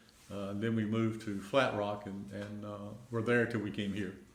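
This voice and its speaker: A man with an American accent talks at a moderate pace in a fairly low pitch. His intonation is monotone and flat, with audible room echo. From Middle Tennessee (rural, near Pulaski). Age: 70s. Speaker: retiree. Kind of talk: oral history interview. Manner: halting, many fillers.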